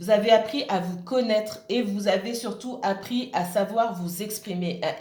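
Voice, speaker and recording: A woman speaks at a medium pitch and a fairly slow pace, with audible room echo and noticeable background noise. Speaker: tarot reader. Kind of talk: tarot reading monologue. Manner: halting, many fillers.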